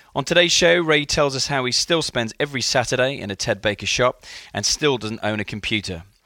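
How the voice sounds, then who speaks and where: A man speaks at a fairly quick pace with lively intonation. His medium-pitched voice is an unremarkable speaking voice. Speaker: podcast host and startup mentor. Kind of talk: podcast intro and outro.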